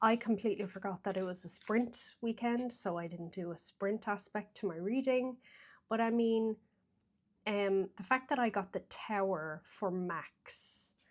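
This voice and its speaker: A woman with an Irish accent speaks at a fairly slow pace and medium pitch with ordinary pitch variation, on a very clean recording with a silent background. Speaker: tarot reader. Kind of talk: casual vlog talk. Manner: hesitant, lots of fillers.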